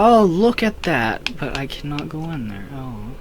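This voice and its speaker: Amid noticeable background noise and audible room echo, a man with a fairly high pitch speaks with very wide pitch swings. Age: 18. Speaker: gaming youtuber. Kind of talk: casual commentary. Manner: halting.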